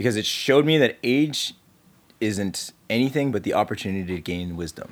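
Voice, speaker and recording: Someone with a Canadian accent speaks in a normal speaking voice at a moderate pace. The intonation is lively. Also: man. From Calgary, Canada. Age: 30s. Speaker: entrepreneur and marketer. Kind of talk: casual interview conversation.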